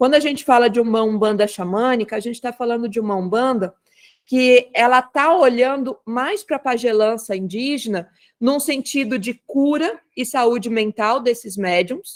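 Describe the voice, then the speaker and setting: Her pitch is high, with ordinary variation. This woman keeps a moderate pace. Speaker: umbanda spiritual leader. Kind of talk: online talk circle presentation.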